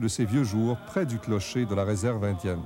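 A man with music in the background. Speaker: documentary narrator. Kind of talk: TV documentary narration.

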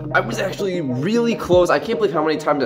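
A man at a fairly quick pace over clear background music. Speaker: gymnastics tricking vlogger. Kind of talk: casual vlog chat. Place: home room. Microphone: phone near.

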